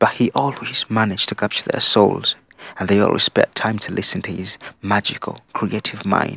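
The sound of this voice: The reading is done in an unforced reading voice.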